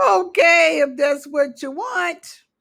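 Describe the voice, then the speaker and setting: A woman uses a put-on character voice. It is high-pitched and loud. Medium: read story. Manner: mocking, loud.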